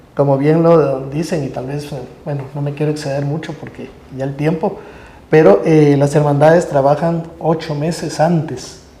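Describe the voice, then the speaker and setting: A man's fairly high voice at a moderate pace, with fairly even intonation and big swings in loudness, amid noticeable background noise and audible room echo. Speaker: religious procession bearer. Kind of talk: religious talk show discussion.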